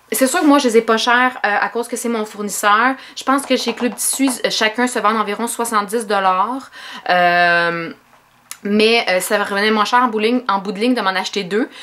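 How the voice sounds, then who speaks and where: With a Quebec accent, a woman speaks at a moderate pace in a fairly high pitch. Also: ordinary pitch variation. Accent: Québécois French. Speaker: sewing vlogger and seamstress. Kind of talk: casual vlog, product haul. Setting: home sewing studio. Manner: hesitant with many fillers.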